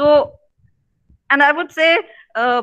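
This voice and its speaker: A woman with an Indian accent raises and projects her voice, her tone bright and sharp. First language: Punjabi. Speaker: professor. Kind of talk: opening remarks at online seminar. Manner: halting, many fillers.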